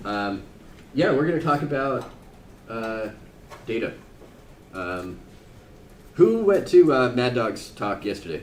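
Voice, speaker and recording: Fairly slow, medium-pitched speech from a man, echoing audibly in the room. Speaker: software engineer presenting a conference talk. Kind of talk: conference presentation. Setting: conference room with live audience. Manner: loud.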